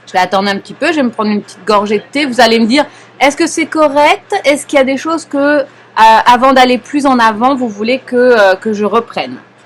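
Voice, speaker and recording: A woman with a high-pitched voice talks at a fairly quick pace, her intonation lively and her loudness swinging widely. Noticeable background noise sits behind her. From Paris, France. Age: 40s. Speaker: knitting teacher. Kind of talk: live knitting class instruction. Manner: calm, patient.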